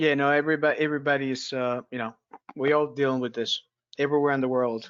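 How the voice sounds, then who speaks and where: Speaking very fast with a non-native accent, a man holds a fairly high pitch in a flat, monotone delivery. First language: not English. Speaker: referee webinar host. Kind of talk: webinar small talk. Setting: video call webinar.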